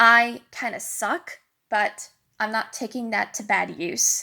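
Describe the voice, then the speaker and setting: A very slow voice with vocal fry and a bright, sharp tone, on a very clean recording with a silent background. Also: woman. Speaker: vlogger. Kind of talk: casual chat. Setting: home bedroom.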